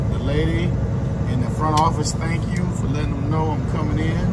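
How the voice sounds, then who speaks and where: Speaking at a moderate pace, the voice sits over loud background noise. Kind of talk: casual vlog chat. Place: car. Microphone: phone near.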